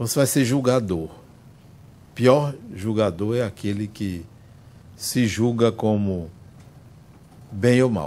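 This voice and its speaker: Speaking very slowly with long, frequent pauses, a man with a dark, mellow tone and fairly low pitch uses ordinary pitch variation amid audible room echo. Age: 60s. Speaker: spiritist lecturer. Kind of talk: lecture. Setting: spiritist center with audience.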